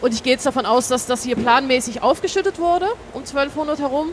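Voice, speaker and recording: Through noticeable background noise, a woman speaks fairly quickly with lively intonation. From Switzerland. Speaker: archaeologist, excavation leader. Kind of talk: interview on site. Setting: outdoors at an excavation site.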